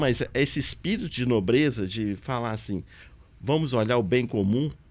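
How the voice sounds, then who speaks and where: At a moderate pace, a man talks in a medium pitch with ordinary pitch variation and an unremarkable speaking voice. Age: 60s. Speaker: city councillor and pharmacist. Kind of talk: interview podcast conversation. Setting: local TV studio.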